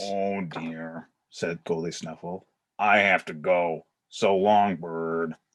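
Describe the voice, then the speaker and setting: A man puts on a character voice with a very deep, low pitch. He speaks very slowly. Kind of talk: children's storybook read-aloud.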